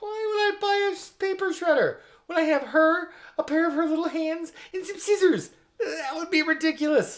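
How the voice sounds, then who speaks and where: This put-on character voice is squeaky and extremely high in pitch, delivered at a moderate pace. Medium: comedy sketch. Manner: brash, fast, dismissive.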